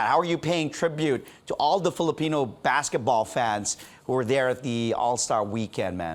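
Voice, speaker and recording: A man's plain, everyday voice at a moderate pace, with lively intonation. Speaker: news interviewer. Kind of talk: interview question. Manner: casual, friendly.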